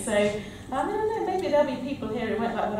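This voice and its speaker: A woman is speaking. Strong room echo and light background noise surround her voice. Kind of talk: conference speech. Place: hall. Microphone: podium.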